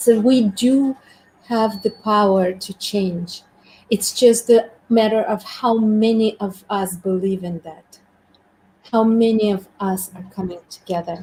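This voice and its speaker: A woman's somewhat breathy voice, dark and mellow in tone, at medium pitch and a fairly slow pace, with fairly even intonation and big swings in loudness. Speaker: community host. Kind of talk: live stream conversation. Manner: meditative.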